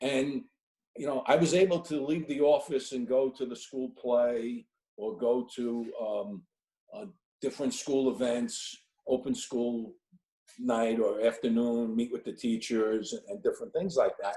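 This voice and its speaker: A man speaks at a moderate pace in a medium pitch, his tone dark and mellow and his intonation lively. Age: 60s. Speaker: elder law attorney. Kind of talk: career workshop panel talk. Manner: halting, many repeated words and fillers.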